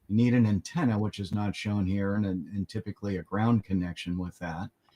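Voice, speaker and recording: A normal speaking voice moves at a fairly quick pace with fairly even intonation, recorded with a dry, close sound and no echo. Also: man, fairly low pitch for a man. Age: 60s. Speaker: amateur radio trainer. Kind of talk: tutorial. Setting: pre-recorded segment.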